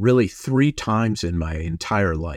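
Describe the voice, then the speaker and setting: In a normal speaking voice, a man with an American accent talks at a fairly slow pace with lively intonation, in a very clean recording with a silent background and a dry, close sound with no echo. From Minnesota. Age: 60s. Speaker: rabbi. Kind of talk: interview conversation.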